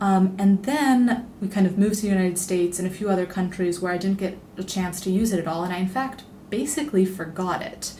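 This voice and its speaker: Over noticeable background noise, a woman talks very fast at medium pitch with ordinary pitch variation. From international upbringing, Italian family, born in Rome. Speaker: travel writer and editor. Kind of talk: podcast interview. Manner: conversational, many filler words.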